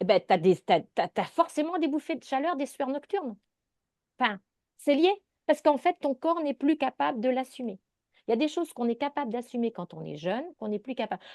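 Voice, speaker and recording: With a high voice and an animated tone, a woman talks at a fairly quick pace, broken by long, frequent pauses, with very wide pitch swings and big swings in loudness in a dry, close sound with no echo. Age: 60s. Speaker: naturopath. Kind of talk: interview.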